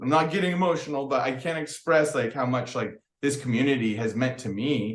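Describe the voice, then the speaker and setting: Speaking at a fairly quick pace, a man with a fairly high pitch shows ordinary pitch variation. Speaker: crystal business owner. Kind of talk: podcast interview. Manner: loud; casual, rambling with many fillers.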